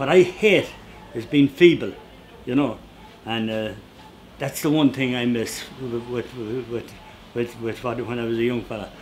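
Speaking with an Irish accent at a medium pitch, a man moves at a fairly quick pace over light background noise. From Ireland. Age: 80s+. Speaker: woodcarver and storyteller. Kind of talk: interview answer. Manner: witty, anecdotal. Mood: animated, humorous. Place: workshop.

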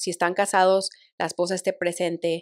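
A woman with a fairly low pitch talks at a moderate pace in a monotone, flat intonation. The background is quiet, and the sound is dry with no echo. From Mexico, Monterrey; Nuevo León, Mexico. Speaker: title company professional; guest. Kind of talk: interview. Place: studio. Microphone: studio mic.

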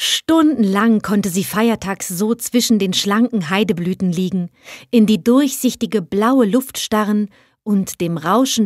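A woman speaks at medium pitch and a fairly slow pace, her tone gentle and her pitch variation ordinary. The recording is very clean with a silent background and a dry, close sound with no echo. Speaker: actress reading fairy tales aloud. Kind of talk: bedtime story reading aloud, fairy tale narration. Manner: soft, gentle, unhurried storytelling; animated, shifting into a small pleading voice for the will-o'-the-wisp.

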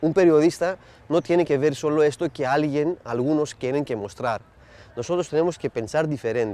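This man's voice sits fairly high in pitch, with a dark, mellow tone. He keeps a moderate pace. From Netherlands and Greece. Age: 40s. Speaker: journalism lecturer and foreign correspondent. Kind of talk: interview. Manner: halting, many hesitations and repetitions.

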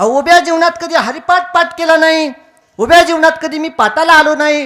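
An extremely high male voice, raised and projected, with ordinary pitch variation. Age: 20s. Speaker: kirtan preacher. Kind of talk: devotional sermon (kirtan). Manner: animated.

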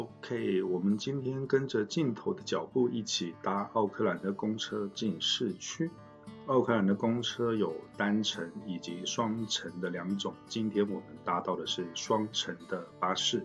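Over music in the background, a man with a fairly low pitch talks at a fairly slow pace, his pitch varying in an ordinary way. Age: middle-aged. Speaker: immigrant vlogger. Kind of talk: travel vlog voiceover narration. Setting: basic non-professional recording, somewhat noisy. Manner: casual, conversational.

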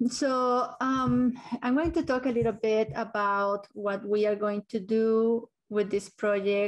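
A woman with a plain, everyday voice speaks at a fairly high pitch and a fairly slow pace, her intonation fairly even against a quiet background. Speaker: meeting facilitator, transport consultant. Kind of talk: virtual public meeting presentation. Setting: video call. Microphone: video call.

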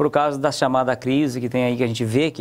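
A man is speaking at a moderate pace. His pitch sits in the medium range. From Paraná, Brazil (raised in interior São Paulo). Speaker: business owner; guest. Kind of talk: interview. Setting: studio. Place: studio.

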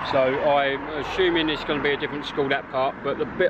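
There is noticeable background noise and a dry sound with no echo as a man speaks with ordinary pitch variation. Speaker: urban explorer vlogger. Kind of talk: casual vlog chat. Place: street. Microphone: phone near.

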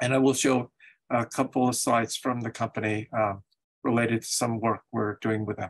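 Against a quiet background, a man talks at a moderate pace in a monotone, flat intonation. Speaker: invited lecturer. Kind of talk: lecture. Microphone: video call.

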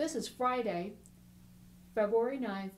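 Here a woman speaks at a fairly high pitch. Her voice is somewhat breathy, and her pace is moderate. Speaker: oral history interviewer. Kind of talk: interview questions.

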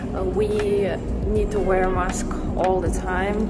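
Music can be heard behind the speaker. She is a woman talking at a moderate speed. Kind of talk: casual vlog chat. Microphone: phone near.

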